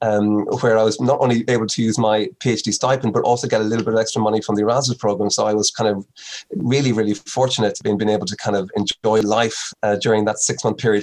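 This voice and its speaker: Very fast delivery from a man with a Meath Irish accent, fairly low in pitch, with monotone, flat intonation. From Ireland, Navan, County Meath. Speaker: dermatology professor. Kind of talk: interview.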